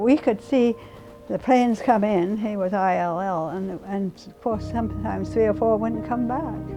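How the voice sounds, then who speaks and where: Moderate-paced speech with big swings in loudness over background music. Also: woman. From England. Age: 80s+. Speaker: war bride, WWII home-front witness. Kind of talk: interview testimony. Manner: halting, with frequent fillers.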